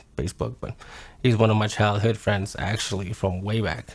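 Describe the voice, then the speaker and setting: A man with vocal fry speaks at a fairly low pitch and a fairly quick pace with ordinary pitch variation. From northern Alberta, Canada. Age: 30s. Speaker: person sharing life story. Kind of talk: personal testimony. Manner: casual, halting.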